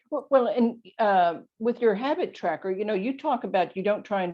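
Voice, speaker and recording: With lively intonation and a medium pitch, a woman speaks in an unremarkable speaking voice. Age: 60s. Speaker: author and lifestyle coach. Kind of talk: podcast interview.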